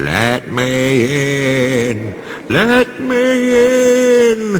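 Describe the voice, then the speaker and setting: A man puts on a character voice at a fairly high pitch, swinging very widely in pitch over clear background noise. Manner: spooky, eerie.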